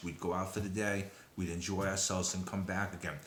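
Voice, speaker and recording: A man with a Brooklyn accent talks amid noticeable background noise and audible room echo. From Brooklyn, New York, then Long Island. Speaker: descendant of a disaster figure, sharing memories. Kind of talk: personal testimony. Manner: hesitant, many fillers.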